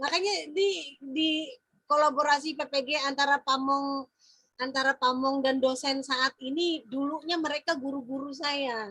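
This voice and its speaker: Raising and projecting her voice, a woman speaks fairly slowly at a high pitch with a bright, sharp tone and fairly even intonation, in a dry, close sound with no echo. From Central Kalimantan, Indonesia (Dayak Maanyan). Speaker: teacher mentor. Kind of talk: feedback discussion.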